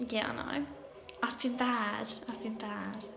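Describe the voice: A woman's fairly high voice with vocal fry and little pitch movement, at a fairly slow pace, with audible room echo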